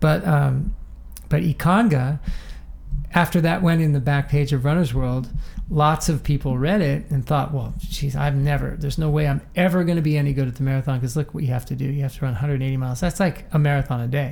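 Speaking in an American accent, a man uses a normal speaking voice at a fairly high pitch. His pace is fairly quick and his intonation fairly even. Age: 60s. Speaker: running coach. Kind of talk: interview.

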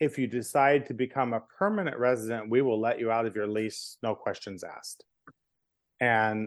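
A man with an unremarkable speaking voice and medium pitch talks at a moderate pace with fairly even intonation against a quiet background. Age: 50s. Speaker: LGBTQ history tour curator and storyteller. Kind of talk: casual chat.

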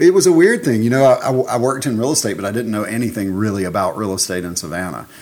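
A man with a Southern US accent talks very fast with lively intonation and hardly any pauses. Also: medium pitch for a man. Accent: Southern US, noticeable. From Alabama, US South. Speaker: real estate broker and owner. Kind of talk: casual interview chat.

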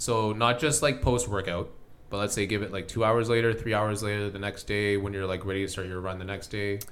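Fairly quick and fairly low-pitched, a man talks with fairly even intonation amid audible room echo. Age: 30s. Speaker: podcast host. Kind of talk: casual chat. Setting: home basement.

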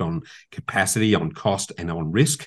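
Lively intonation carries this voice with an Australian accent over a quiet background. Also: man. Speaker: property investment expert and podcast host. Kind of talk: casual interview. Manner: passionate.

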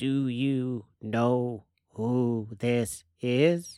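Pitched low-to-middle, the voice is a put-on character voice. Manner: put-on alien voice.

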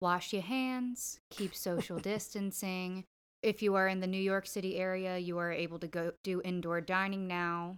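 A woman speaks at a moderate pace and medium pitch with fairly even intonation, in a normal speaking voice. The recording is very clean, with a silent background. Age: 20s. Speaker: guest co-host. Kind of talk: casual chat; public service announcement.

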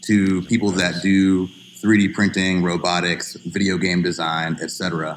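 A man speaks with an American accent in a very deep, low pitch. His pace is fairly slow. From Florida (Kissimmee). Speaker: music producer, foundation founder. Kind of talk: casual chat.

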